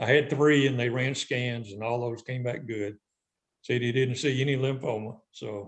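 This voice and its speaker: The speaker has a Southern US accent and talks at a moderate pace. The intonation stays fairly even. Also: man, medium pitch for a man. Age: 60s. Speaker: retired tournament director. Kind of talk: casual interview.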